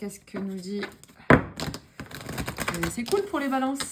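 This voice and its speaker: A woman against noticeable background noise. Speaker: tarot card reader. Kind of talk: tarot reading video.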